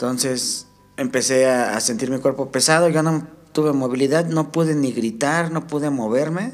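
With music in the background, a man speaks at a moderate pace in a fairly high voice with ordinary pitch variation. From Mexico, Estado de México. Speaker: guest recounting paranormal experience. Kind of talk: testimony. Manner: halting, many fillers.

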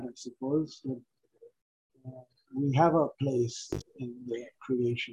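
The voice is dark, mellow and somewhat breathy. Its intonation is monotone and flat, at a fairly slow pace. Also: man. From India. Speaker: author and retired electrical engineer. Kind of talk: interview. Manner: halting.

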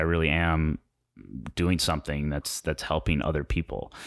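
A man speaks at a moderate pace in a very deep, low pitch with vocal fry and a bright, sharp tone. The recording is very clean, with a silent background. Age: 20s. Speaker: filmmaker and online coach. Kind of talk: casual interview. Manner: halting, many repeated words.

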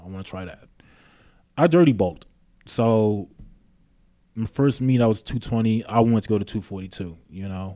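A man with a New York accent speaks at a fairly low pitch in a very clean recording with a silent background. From New York City (Queens). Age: 30s. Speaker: gym owner and personal trainer. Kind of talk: interview.

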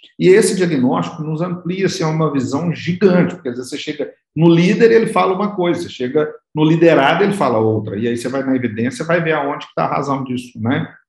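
Lively intonation marks this man's fairly high voice. He talks at a very fast pace. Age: 40s. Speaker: business consultant. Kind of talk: interview.

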